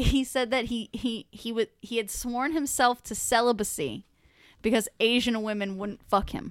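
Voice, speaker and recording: The recording is very clean with a silent background, and a woman with an ordinary speaking voice talks at a moderate pace. Her pitch is fairly high, with ordinary pitch variation. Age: 20s. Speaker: podcast co-host. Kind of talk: casual chat.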